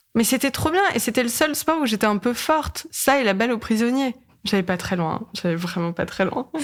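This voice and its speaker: At a moderate pace, a woman with a fairly high pitch speaks in an animated tone, her pitch swinging very widely. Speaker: podcaster. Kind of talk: casual chat.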